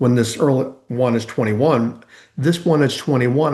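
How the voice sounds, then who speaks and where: This man uses an ordinary speaking voice with a medium pitch. He talks at a fairly quick pace with ordinary pitch variation. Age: 60s. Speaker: transformation coach. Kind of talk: interview conversation.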